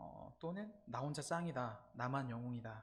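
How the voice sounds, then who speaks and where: Lively intonation marks this man's speech. He talks rather slowly. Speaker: campus ministry preacher. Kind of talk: sermon. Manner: halting, frequent 'uh' fillers.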